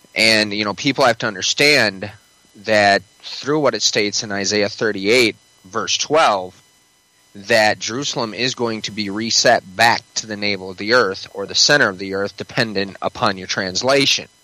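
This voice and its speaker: A man speaks at a moderate pace with a fairly low pitch and fairly even intonation. Noticeable background noise is present. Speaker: prophecy podcaster. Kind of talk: casual chat.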